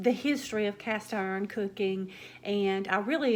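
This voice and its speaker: Pitched at a medium level, a woman talks with a Southern US accent. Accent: Southern drawl. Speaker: cooking vlogger. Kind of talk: casual chat. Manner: hesitant, with fillers.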